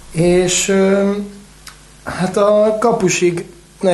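Over noticeable background noise, a man speaks in a flat monotone. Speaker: water polo podcast co-host. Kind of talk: casual chat.

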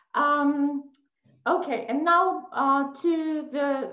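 A woman's high-pitched voice carries audible room echo over a quiet background. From Poland. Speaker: English teacher. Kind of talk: webinar presentation. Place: home room. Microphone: video call.

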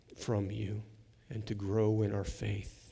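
Somewhat breathy and dark, mellow in tone, the voice moves at a very slow pace. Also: man. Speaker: preacher. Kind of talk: sermon intro and prayer. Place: church. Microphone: headset.

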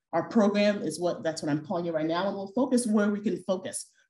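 A woman speaks with lively intonation and a somewhat breathy voice. Room echo is audible. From Ghana. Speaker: physician and professor; presenter. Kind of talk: lecture. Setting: auditorium with audience, also streamed on Zoom. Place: hall.

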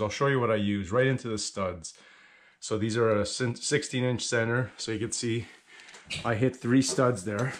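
A man's intonation stays fairly even as he talks at a moderate pace. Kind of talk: tutorial. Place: garage. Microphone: phone near.

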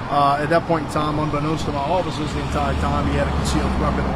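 Noticeable background noise sits behind a man talking at a very fast pace. The sound is dry, with no echo. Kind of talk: press interview answer. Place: street. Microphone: handheld.

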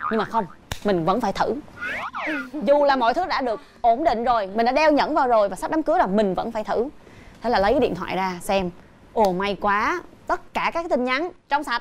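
Her pitch swings very widely as this woman speaks at a fairly quick pace. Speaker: talk show host or guest. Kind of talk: talk show commentary, personal story. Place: studio. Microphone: lapel.

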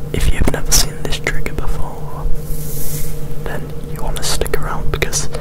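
Whispering and soft-spoken at a fairly slow pace, this voice has a dry sound with no echo over loud background noise. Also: man. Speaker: ASMR creator. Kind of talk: soft-spoken ASMR chat. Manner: soft close-mic ASMR whisper. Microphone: handheld.

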